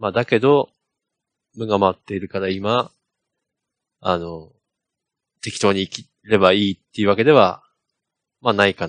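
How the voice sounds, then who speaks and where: Dry and close with no echo, a fairly low-voiced man speaks at a moderate pace with ordinary pitch variation, big swings in loudness and long, frequent pauses. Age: 40s. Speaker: software engineer podcast host. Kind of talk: casual chat.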